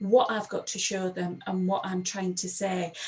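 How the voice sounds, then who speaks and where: A woman speaks with a Sheffield accent. There is noticeable background noise. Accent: broad Sheffield Yorkshire. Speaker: empowerment coach. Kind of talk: presentation.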